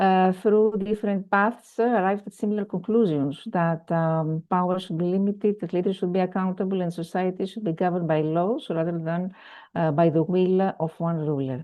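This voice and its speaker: With a Greek accent, a woman talks at a moderate pace and medium pitch, using ordinary pitch variation and hardly any pauses. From Greece. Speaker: conference speaker, researcher. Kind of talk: conference keynote presentation. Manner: hesitant with many fillers.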